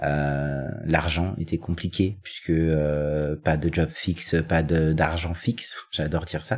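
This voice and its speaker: Noticeable background noise sits behind a man with a very deep, low pitch. He speaks very slowly with fairly even intonation and hardly any pauses. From Paris suburbs (Seine-Saint-Denis). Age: 30s. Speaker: podcast interviewee. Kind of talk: personal testimony. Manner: hesitant.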